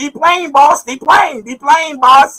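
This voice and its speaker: This is a put-on character voice with a high pitch. It speaks at a fairly slow pace. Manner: mocking.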